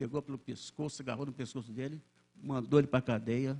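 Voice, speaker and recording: In a dark, mellow tone, a man talks at a moderate pace and medium pitch with monotone, flat intonation. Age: 80s+. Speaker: church elder, lay preacher. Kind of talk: sermon. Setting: church service. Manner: halting, with many repetitions and self-corrections.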